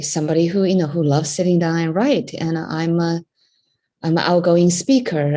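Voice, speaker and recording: Her tone dark and mellow, a woman with fairly low pitch talks at a fairly quick pace. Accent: Chinese. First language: Chinese. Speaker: entrepreneur and memoir writer. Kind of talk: group discussion.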